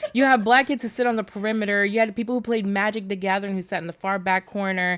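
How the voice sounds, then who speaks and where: Animated, very fast talk from a woman at medium pitch with an American accent. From New York City. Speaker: podcast co-host. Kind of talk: casual chat.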